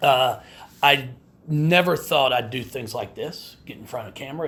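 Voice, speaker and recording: A man talks at a moderate pace in a fairly high pitch with ordinary pitch variation. Audible room echo can be heard. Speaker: women's basketball head coach. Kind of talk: press conference. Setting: media day press room. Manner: halting, repeated words.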